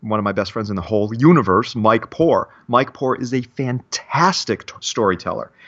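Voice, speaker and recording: A man with a Midwestern American accent and a lively, bouncing intonation. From Michigan, Detroit area. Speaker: security instructor and company founder. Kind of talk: casual interview.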